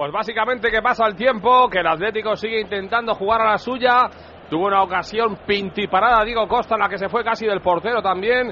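At a fairly quick pace, a man talks in a high pitch with fairly even intonation. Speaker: football reporter. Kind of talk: live commentary. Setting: stadium. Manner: fast.

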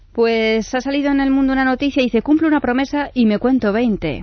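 A woman at a fairly quick pace. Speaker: radio co-host. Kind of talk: news reading.

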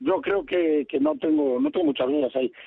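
His pitch swings very widely as the man talks at a fairly quick pace. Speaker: football pundit. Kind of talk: casual chat.

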